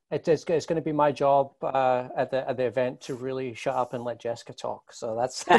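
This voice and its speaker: At a fairly quick pace and with hardly any pauses, a man talks in a medium pitch. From Scotland, Glasgow. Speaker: marketing agency executive. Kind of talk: interview. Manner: halting, many repetitions.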